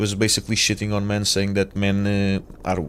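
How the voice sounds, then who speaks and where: A man speaks with a Portuguese accent. His pitch is fairly low and his pace moderate. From Portugal. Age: 30s. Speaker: gaming streamer. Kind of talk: casual live stream chat. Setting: live stream. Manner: hesitant, many fillers.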